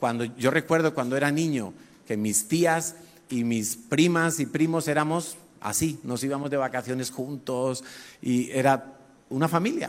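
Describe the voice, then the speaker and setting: A man with a normal speaking voice, fairly high in pitch, speaks at a fairly slow pace with ordinary pitch variation on a very clean recording with a silent background. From Spain, Madrid. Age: 50s. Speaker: pastor. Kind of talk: sermon.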